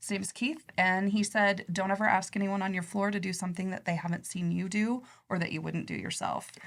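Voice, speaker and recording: Soft-spoken and fairly quick, with hardly any pauses, fairly even intonation and a Midwestern American accent. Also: woman, medium pitch for a woman. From Nebraska, US Midwest. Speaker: credit union executive. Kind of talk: podcast interview.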